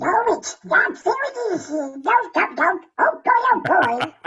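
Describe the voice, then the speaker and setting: A man performs a put-on character voice, pitched extremely high and delivered at a fairly slow pace. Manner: squawky, garbled.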